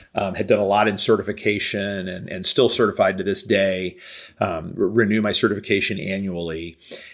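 A man with a Midwestern US accent talks fairly quickly at a fairly low pitch, his intonation flat and monotone. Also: very clean recording, silent background. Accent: US Midwest. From Kansas City. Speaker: business consultant. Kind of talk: interview.

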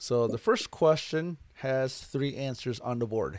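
This is a man with a normal speaking voice. His pitch is medium, with ordinary variation. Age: 30s. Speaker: podcast host and photographer. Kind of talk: casual interview; game show hosting.

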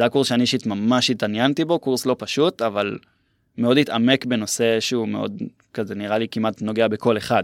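A man with a normal speaking voice, medium pitch and ordinary pitch variation, at a fairly quick pace, in a very clean recording with a silent background and a dry, close sound with no echo. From central Israel (Herzliya). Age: 20s. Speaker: university student. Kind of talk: casual interview.

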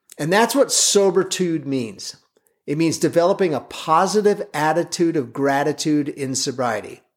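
Here a man talks at a fairly slow pace in a fairly high voice. His intonation is lively. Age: 50s. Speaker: sobriety coach and podcast host. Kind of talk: solo podcast monologue. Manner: hesitant fillers, repeated words.

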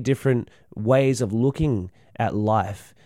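A man with an Australian accent and a dark, mellow tone, ordinary pitch variation, on a very clean recording with a silent background. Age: 20s. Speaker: podcast host and snake catcher. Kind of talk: casual solo monologue. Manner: halting, many fillers.

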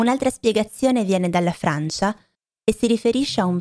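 A woman talks at a moderate pace with lively intonation, in a dry, close sound with no echo on a very clean recording with a silent background. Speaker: language teacher podcaster. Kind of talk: language lesson monologue.

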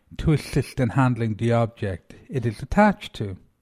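The speaker has an Irish accent and a somewhat breathy voice, with lively intonation at a moderate pace. The recording is very clean with a silent background, dry and close with no echo. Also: man. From Ireland. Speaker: antiques show host. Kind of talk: podcast monologue about antiques. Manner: informal, somewhat halting with repeated words.

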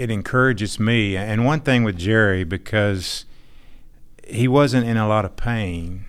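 A man's fairly low voice with an American accent, very slow, with ordinary pitch variation and audible room echo. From Texas. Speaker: church member. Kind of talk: testimony.

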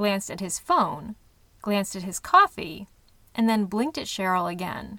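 A natural reading voice and ordinary shifts in pitch

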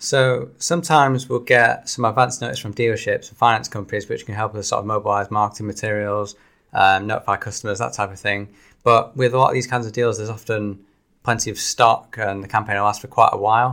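A man with a Manchester accent, a bright, sharp tone, fairly even intonation and a very fast pace. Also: medium pitch for a man, big swings in loudness, very clean recording, silent background. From Salford, Greater Manchester. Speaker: car leasing deals presenter. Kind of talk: casual chat.

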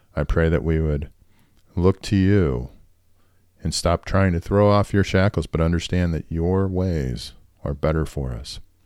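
A man's very deep, low voice at a fairly slow pace, with ordinary pitch variation and long, frequent pauses. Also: very clean recording, silent background. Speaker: prayer podcast host. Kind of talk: fervent spoken prayer with scripture reading. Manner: earnest, reverent, pleading.

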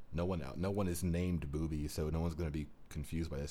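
The tone is dark and mellow. Words come out at a very fast pace. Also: man. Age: 20s. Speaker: podcast co-host. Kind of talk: casual chat.

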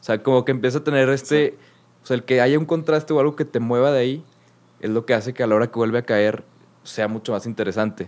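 A man with a Mexican accent talks at a very fast pace and medium pitch, with ordinary pitch variation. His loudness swings widely. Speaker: podcast co-host, music presenter. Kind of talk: casual chat. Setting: remote recording.

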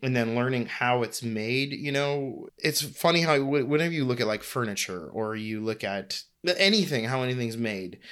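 An American-accented man at a medium pitch, with a bright, sharp tone, ordinary pitch variation and a moderate pace, on a very clean recording with a silent background. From US Northeast (New England). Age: 30s. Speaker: footwear designer and brand founder. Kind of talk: casual interview.

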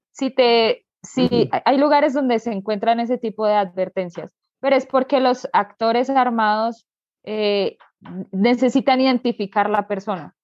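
A woman with a plain, everyday voice talks at a fairly slow pace. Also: fairly high pitch for a woman, ordinary pitch variation. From Colombia, Bogotá. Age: 20s. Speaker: motorcycle traveler. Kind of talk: interview.

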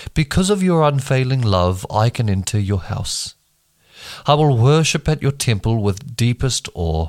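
With a New Zealand accent, a man talks at a medium pitch and a fairly slow pace, his pitch swinging very widely, in a dry, close sound with no echo and a very clean recording with a silent background. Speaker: bible reading podcaster. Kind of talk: reading aloud. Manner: halting over hard names.

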